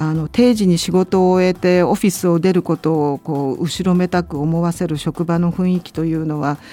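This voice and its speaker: An ordinary speaking voice at a fairly slow pace, with ordinary pitch variation. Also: woman. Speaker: international labour organization official. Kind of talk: educational talk.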